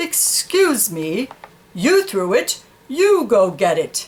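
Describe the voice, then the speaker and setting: In a put-on character voice, the speaker goes very slowly, with very wide pitch swings. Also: female-sounding voice, fairly high pitch for a woman. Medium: read story. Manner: blunt, matter-of-fact.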